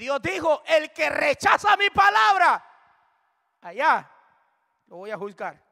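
Raised and projected, a man's extremely high-pitched voice has a bright, sharp tone and a very slow pace broken by long, frequent pauses. His pitch swings very widely and his loudness swings a lot, with a dry, close sound and no echo. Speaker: preacher. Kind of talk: sermon, Bible study preaching. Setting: church.

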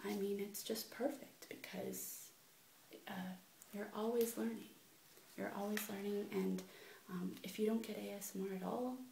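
A soft-spoken woman talks in a gentle tone at a fairly slow pace, with audible room echo and light background noise. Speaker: ASMR video creator. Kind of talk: casual vlog chat. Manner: gentle soft-spoken ASMR voice. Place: home room. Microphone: webcam.

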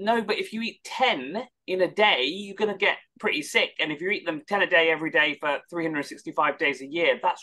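Raising and projecting his voice, a man talks at a moderate pace with lively intonation and a bright, sharp tone. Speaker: head of an anti-hate advocacy nonprofit. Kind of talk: panel discussion. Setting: online webinar. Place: home room. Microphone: video call.

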